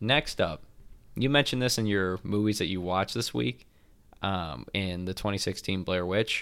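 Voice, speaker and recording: A man talks at a fairly quick pace in a normal speaking voice. The recording is very clean, with a silent background. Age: 20s. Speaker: movie podcast co-host. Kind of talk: casual chat.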